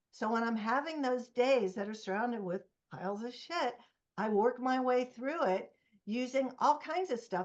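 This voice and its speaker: A woman speaks in a high-pitched voice with ordinary pitch variation. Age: 70s. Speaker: author and relationship expert. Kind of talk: interview conversation.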